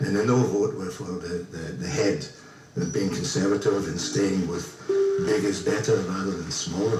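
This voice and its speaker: A man with a fairly low pitch speaks at a moderate pace, with audible room echo and music in the background. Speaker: ukulele group member. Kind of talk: radio interview.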